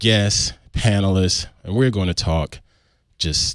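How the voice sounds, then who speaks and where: Speaking at a fairly slow pace, a man with a fairly low pitch is captured in a very clean recording over a silent background. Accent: Southern US. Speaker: podcast host. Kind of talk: podcast intro and casual chat.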